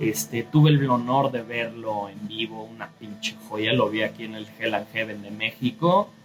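With music in the background, a man with a Mexico City accent speaks fairly slowly at a medium pitch, with ordinary pitch variation, big swings in loudness and hardly any pauses. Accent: Mexican Spanish, Mexico City (chilango). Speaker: artist and podcaster. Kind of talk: casual monologue. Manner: casual, frequent filler pauses.

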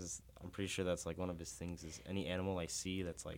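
This man, with an American accent, talks at a very fast pace in a very deep, low pitch. His intonation is monotone and flat. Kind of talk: casual chat.

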